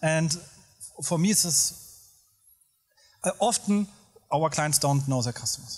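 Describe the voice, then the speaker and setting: A man with a Hessian German accent, fairly slow and with long, frequent pauses, ordinary pitch variation and music in the background. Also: fairly high pitch for a man. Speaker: agency professional. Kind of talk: panel discussion.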